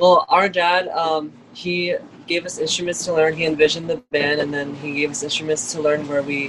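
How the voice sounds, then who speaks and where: With noticeable noise behind him, a man speaks at a moderate pace, his fairly high pitch held in a fairly even intonation. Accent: Californian. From Los Angeles, US West Coast. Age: 20s. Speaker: lead guitarist. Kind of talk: casual interview.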